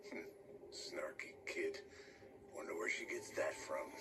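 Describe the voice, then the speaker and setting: A man uses a put-on character voice over loud background noise. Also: fairly slow pace. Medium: video game. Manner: dry, deadpan, terse.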